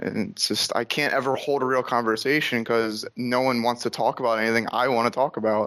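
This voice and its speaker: A man with a plain, everyday voice speaks at a fairly quick pace with hardly any pauses. His pitch is medium, his intonation fairly even and his loudness very even. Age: young. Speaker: college student caller. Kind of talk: phone-in advice call.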